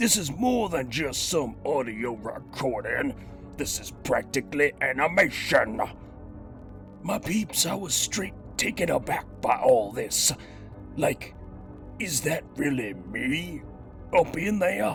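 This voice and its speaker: Over clear music in the background, a man does a put-on character voice at a fairly high pitch, fairly slow in pace, with long, frequent pauses. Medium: audio drama. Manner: slangy, swaggering, rhyming.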